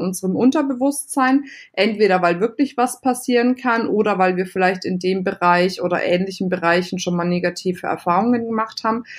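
A plain, everyday voice from a woman, moderate in pace and medium in pitch, with ordinary pitch variation. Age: 30s. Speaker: entrepreneur and business coach. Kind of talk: interview.

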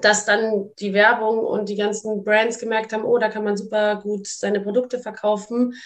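The woman's fairly high voice holds a monotone, flat intonation. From Munich, Bavaria. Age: 20s. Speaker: model, influencer and actress. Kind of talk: casual conversation.

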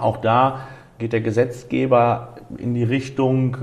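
A man keeps his intonation fairly even while noticeable noise sits behind him. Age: 20s. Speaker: driving school owner. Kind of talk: interview. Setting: driving school exam room.

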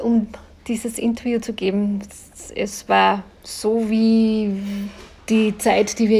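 A woman's medium-pitched voice, dark and mellow in tone and somewhat breathy. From Austria, Linz. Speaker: podcast host. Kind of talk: interview. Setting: restaurant by a lake.

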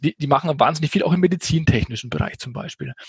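A man with a Franconian accent speaks in a fairly high, somewhat breathy voice. The sound is dry and close, with no echo. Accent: Franconian, rolled R. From Franconia, Germany. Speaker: software company sales executive. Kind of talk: podcast interview.

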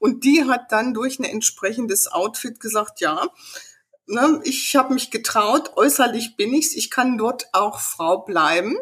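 Her high voice carries lively intonation at a fairly slow pace. The woman's tone is animated and passionate. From rural upbringing on a farm. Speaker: business owner and image consultant. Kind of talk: casual interview. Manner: animated, passionate.

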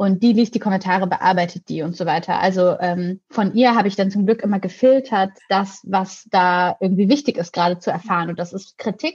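Fairly quick and with hardly any pauses, a woman speaks in a somewhat breathy medium-pitched voice with ordinary pitch variation. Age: 20s. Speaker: YouTube presenter and editor. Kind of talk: casual chat.

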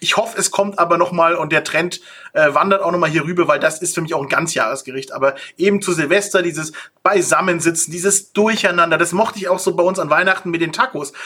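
Bright and sharp in tone, a man speaks at a very fast pace with a high pitch for a man. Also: ordinary pitch variation. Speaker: podcast host. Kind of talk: casual chat.

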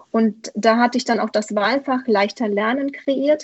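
A fairly high female voice, its pitch varying in an ordinary way. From Romania. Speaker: primary school teacher and author. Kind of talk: interview. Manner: hesitant, many fillers.

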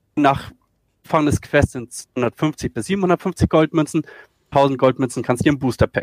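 A man in a normal speaking voice talks at a moderate pace with a fairly high pitch, ordinary pitch variation and big swings in loudness, in a dry, close sound with no echo. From northern Germany, Schleswig-Holstein. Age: 40s. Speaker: esports video editor. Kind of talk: casual chat.

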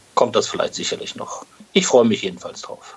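Noticeable noise fills the background. Through it, a man's voice can be heard. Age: 40s. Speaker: podcast co-host, medical tech sales rep. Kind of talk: casual podcast chat. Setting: hotel room, remote recording.

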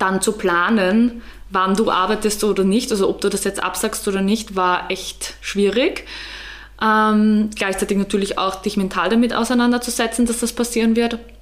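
A woman's fairly high voice, monotone and flat, at a moderate pace with very even loudness over noticeable background noise. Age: 20s. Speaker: photographer. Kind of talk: casual chat.

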